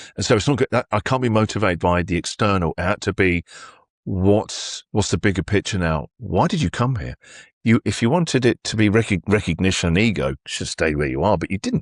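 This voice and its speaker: A man with a British accent, fairly low in pitch and fairly quick in pace, in a very clean, dry, close recording with a silent background and no echo. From England. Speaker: radio host. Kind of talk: interview answer.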